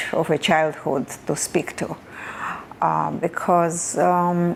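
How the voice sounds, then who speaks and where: In a strong Russian accent, a woman speaks at a very slow pace with a very deep, low pitch. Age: 70s. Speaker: Holocaust survivor. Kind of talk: testimony. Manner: halting.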